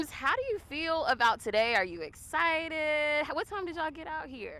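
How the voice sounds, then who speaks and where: With a raised, projected voice, a woman talks at a moderate pace and high pitch, showing very wide pitch swings and big swings in loudness. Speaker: sports reporter. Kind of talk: interview questions.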